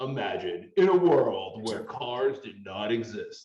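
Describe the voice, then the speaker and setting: With a slight echo around him, a man uses a put-on character voice at a medium pitch and a fairly slow pace. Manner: dramatic.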